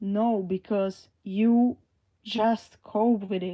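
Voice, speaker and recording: A woman's dark, mellow tone with a non-native accent and fairly even intonation. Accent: foreign. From Slovakia. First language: Slovak. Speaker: livestreamer. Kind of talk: live stream chat. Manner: halting.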